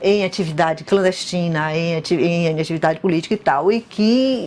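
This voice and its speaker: A woman is talking at a moderate pace. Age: 60s. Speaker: former student. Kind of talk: interview testimony.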